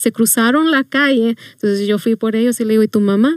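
Here is an ordinary speaking voice, a woman's, fairly high with ordinary pitch variation. She goes at a fairly quick pace, and the sound is dry and close with no echo. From Mexico, Chihuahua. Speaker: youth minister. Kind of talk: testimony.

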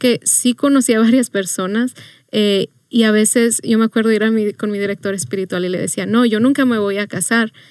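In a plain, everyday voice, a woman speaks at a fairly quick pace and fairly high pitch with ordinary pitch variation, on a very clean recording with a silent background and a dry, close sound with no echo. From Mexico, Chihuahua. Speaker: youth minister. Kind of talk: testimony.

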